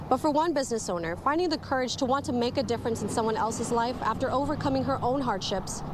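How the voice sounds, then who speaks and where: Over noticeable background noise, a woman with an American accent talks at a very fast pace in a high pitch. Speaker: TV news reporter. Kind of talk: TV news reporting, liveshots and packages. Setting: outdoor liveshot and voiceover. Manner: clear, professional, broadcast delivery.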